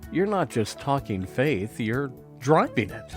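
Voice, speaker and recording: A man's medium-pitched voice with a warm tone and very wide pitch swings at a moderate pace over music in the background. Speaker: chaplain, podcast host. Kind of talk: journal reading, reflective storytelling. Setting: podcast recording. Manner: warm, conversational, reflective.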